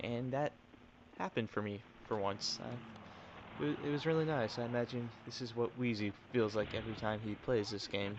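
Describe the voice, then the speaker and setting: A man at medium pitch with a plain, everyday voice. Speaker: gaming commentator. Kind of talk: gameplay commentary. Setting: home recording late at night. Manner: quiet, restrained so as not to wake others.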